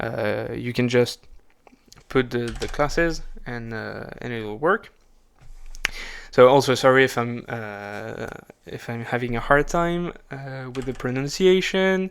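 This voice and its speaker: With a non-native accent, a man speaks at a fairly slow, medium-pitched pace marked by long, frequent pauses and big swings in loudness. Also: ordinary pitch variation. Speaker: programmer. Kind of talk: coding tutorial narration. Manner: halting, many fillers and restarts.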